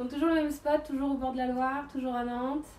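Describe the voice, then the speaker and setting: Over light background noise and audible room echo, a woman talks at a very fast pace with a high pitch. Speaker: fitness coach. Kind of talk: live stream greeting and workout intro. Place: waterside. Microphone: camera far.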